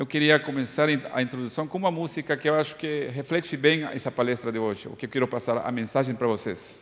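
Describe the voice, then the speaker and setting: A man with a Bolivian accent speaks at a fairly quick pace, his medium pitch showing ordinary variation. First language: Spanish (speaking Portuguese). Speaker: psychologist. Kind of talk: lecture. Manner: hesitant, with filler sounds.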